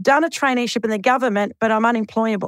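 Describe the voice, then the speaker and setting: Captured in a very clean recording with a silent background, a woman's high voice comes across dry and close with no echo. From Australia, Sydney (Redfern). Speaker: entrepreneur. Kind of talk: interview.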